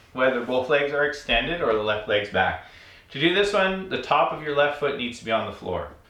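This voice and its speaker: A man with a fairly high pitch speaks at a moderate pace. Noticeable background noise runs behind him. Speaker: yoga teacher and podcast host. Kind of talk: guided yoga class, step-by-step spoken pose instructions. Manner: calm, repetitive cueing, gently repeating instructions; earnest, uplifting, slightly rambling with filler words.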